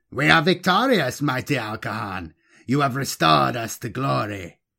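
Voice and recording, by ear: Putting on a character voice, a man speaks at a moderate pace and medium pitch with lively intonation, a bright, sharp tone and vocal fry. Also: very clean recording, silent background.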